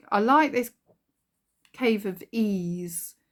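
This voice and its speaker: The speaker has a slight Kent accent and ordinary pitch variation. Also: woman. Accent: Kentish, slight. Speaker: spiritual card deck reviewer. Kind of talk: casual product flip-through. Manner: hesitant, many fillers.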